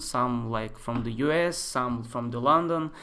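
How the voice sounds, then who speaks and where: Amid audible room echo, a man speaks very slowly with a bright, sharp tone. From Russia, Moscow. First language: Russian. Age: 20s. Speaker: architecture software tutor. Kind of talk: live-stream tutorial. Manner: casual, hesitant with many fillers.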